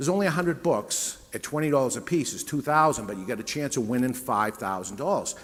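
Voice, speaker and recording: A man with a New England accent, medium pitch and lively intonation. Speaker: business owner and author giving a talk. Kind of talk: sales pitch. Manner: conversational.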